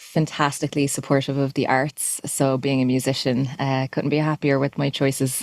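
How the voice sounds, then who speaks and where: A woman speaks with an Irish accent in a very deep, low voice, her loudness very even and her intonation flat and monotone. She keeps a moderate pace with hardly any pauses, and the sound is dry and close with no echo. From Ireland, Dublin. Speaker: musician. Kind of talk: interview. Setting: podcast.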